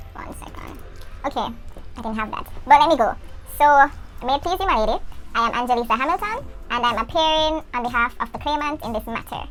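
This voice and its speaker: Over noticeable background noise, a woman with a high pitch talks very fast with lively intonation, big swings in loudness and long, frequent pauses. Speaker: law student vlogger. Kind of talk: mock court presentation. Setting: classroom. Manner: quiet.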